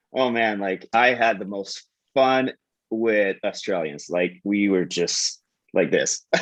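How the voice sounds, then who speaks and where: A man speaks with a fairly low pitch. His pace is very slow. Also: ordinary pitch variation. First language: French. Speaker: TikTok coach and sales executive. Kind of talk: casual interview chat. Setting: live video call. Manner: halting.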